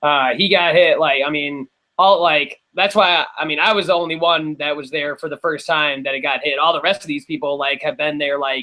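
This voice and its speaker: An ordinary speaking voice, this man has a fairly high pitch and an American accent, moving at a fairly quick pace with fairly even intonation and hardly any pauses. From Wisconsin, US. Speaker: electronic music producer. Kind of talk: casual chat.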